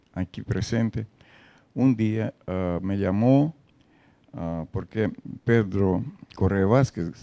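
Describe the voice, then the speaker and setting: With a Russian accent, a man speaks at a very slow pace with long, frequent pauses, his fairly low voice dark and mellow in tone, with ordinary pitch variation and a dry, close sound with no echo. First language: Russian (speaking Spanish). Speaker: poet and translator. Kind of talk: interview. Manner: halting, many fillers.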